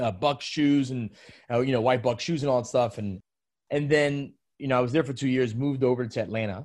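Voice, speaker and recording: A man with a New York accent speaks at a medium pitch with ordinary pitch variation. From New York City, Brooklyn. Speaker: menswear brand founder. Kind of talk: casual interview.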